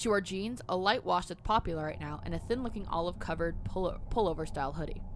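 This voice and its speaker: A woman's very fast speech with hardly any pauses. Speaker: podcast co-host. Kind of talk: casual banter, reading true-crime stories aloud.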